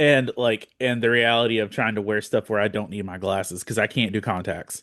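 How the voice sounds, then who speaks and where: In an ordinary speaking voice, a man with a fairly low pitch and fairly even intonation speaks at a fairly quick pace, the sound dry and close with no echo against a quiet background. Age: 40s. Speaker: podcast host. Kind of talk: casual chat.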